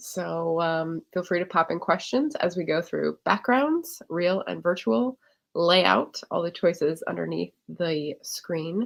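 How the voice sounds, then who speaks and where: The voice is quiet and very slow. There are hardly any pauses. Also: woman. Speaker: livestream tech tutor. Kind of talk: livestream tutorial. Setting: livestream. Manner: quiet, holding back voice.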